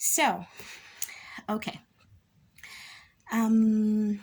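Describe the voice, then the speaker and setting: Fairly high in pitch, a woman speaks in a somewhat breathy voice. The recording is very clean, with a silent background. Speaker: religious storyteller. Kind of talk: casual storytelling.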